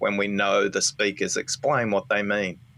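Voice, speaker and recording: At a medium pitch, a man talks in an ordinary speaking voice. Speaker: author and listening expert. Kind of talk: podcast interview.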